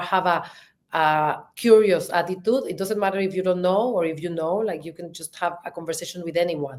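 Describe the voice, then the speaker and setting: A woman with a strong Mexican accent, a medium pitch, a fairly quick pace and big swings in loudness. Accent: thick Mexican Spanish. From Mexico. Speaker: marketing executive and podcast co-host. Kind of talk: interview. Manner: animated.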